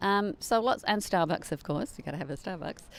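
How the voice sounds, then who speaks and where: A woman with an English accent, medium pitch and lively intonation at a fairly quick pace, in a very clean recording with a silent background. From England. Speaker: life transitions coach. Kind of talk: casual interview.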